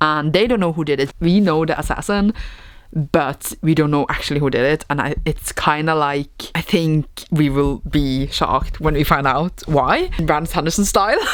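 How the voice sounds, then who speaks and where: Against noticeable background noise, a woman speaks at a moderate pace in a very deep, low voice with ordinary pitch variation. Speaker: booktuber. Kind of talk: casual vlog. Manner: casual, rambling with fillers.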